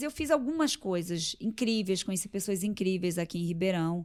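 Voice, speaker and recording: The recording is very clean, with a silent background. A woman speaks at a moderate pace, her pitch swinging very widely. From Rio de Janeiro, Brazil. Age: 40s. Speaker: entrepreneur and athlete guest. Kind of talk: casual interview.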